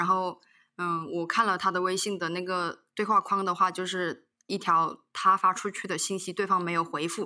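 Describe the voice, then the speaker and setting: Over a very clean recording with a silent background, a bright, sharp tone comes through in monotone, flat intonation at a moderate pace. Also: woman, medium pitch for a woman. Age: 20s. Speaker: elderly care company worker. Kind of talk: casual chat.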